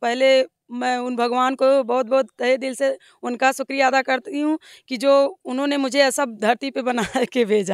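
A woman's high pitch, fairly even intonation and fairly slow pace, in dry sound with no echo and a quiet background. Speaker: interviewee. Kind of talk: interview answer. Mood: cheerful, grateful. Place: open country. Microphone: handheld.

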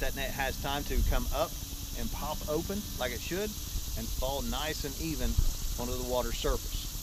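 A man at a moderate pace, dry sound with no echo, and loud background noise. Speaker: fishing instructor. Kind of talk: tutorial. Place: boat.

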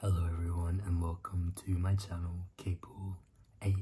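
A man's very deep, low, somewhat breathy voice, dark and mellow in tone, with monotone, flat intonation. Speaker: ASMR creator. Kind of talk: soft-spoken ASMR chat. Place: home room. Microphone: phone near.

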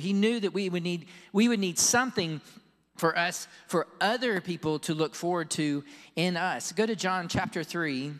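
In a Southern US accent, a man speaks at a fairly slow pace, high-pitched for a man, with ordinary pitch variation against a quiet background. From Florida. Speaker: pastor. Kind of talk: sermon. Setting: church. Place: church. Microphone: handheld.

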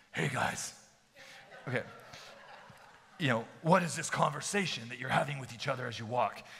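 A man uses a gravelly, put-on character voice at medium pitch and a moderate pace, with long, frequent pauses. Light background noise sits behind him. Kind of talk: sermon. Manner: brooding superhero tone.

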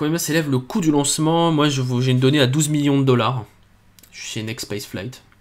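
The voice has ordinary pitch variation and a fairly quick pace. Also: man, fairly high pitch for a man. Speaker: space launch livestream host; livestream space launch commentator. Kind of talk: live commentary.

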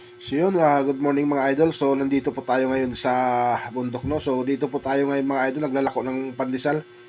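Music plays in the background. Over it, a man talks at a medium pitch and a fairly quick pace. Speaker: vlogger and bread vendor. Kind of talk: vlog narration. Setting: outdoors on a mountain. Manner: casual, filler-heavy.

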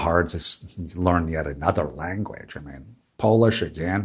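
Against a quiet background, a man with an American accent talks at a fairly slow pace in a very deep, low pitch, somewhat breathy, with ordinary pitch variation. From United States. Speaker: vlogger, digital nomad; travel vlogger. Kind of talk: casual vlog monologue; casual vlog chat. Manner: halting, many fillers. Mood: weary, mildly complaining. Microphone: phone near.

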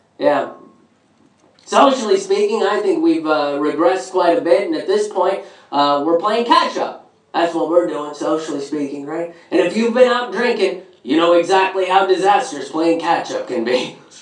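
Over a quiet background with audible room echo, a man talks at a moderate pace. His pitch is high, with ordinary variation. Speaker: stand-up comedian. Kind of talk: stand-up comedy. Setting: stage with live audience. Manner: conversational, rhetorical 'right?' tags, some stumbling starts. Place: stage.

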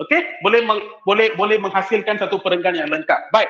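A man's raised, projected voice, high in pitch and fairly quick, against a quiet background with audible room echo. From Malaysia. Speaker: teacher giving a workshop talk. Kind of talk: online workshop lecture. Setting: video call. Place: classroom.

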